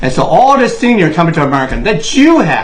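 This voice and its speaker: With a Chinese accent, a man speaks at a moderate pace over noticeable background noise, with audible room echo. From Taiwan. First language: Mandarin Chinese. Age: 60s. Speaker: political commentator. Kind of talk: monologue. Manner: impassioned.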